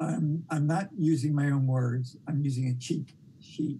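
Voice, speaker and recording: A man speaks at a fairly slow pace with a somewhat breathy, dark and mellow tone. His pitch sits fairly high, his loudness stays very even, and his intonation is fairly even. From US, New York City. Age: 70s. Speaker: documentary filmmaker. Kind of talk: interview. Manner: halting.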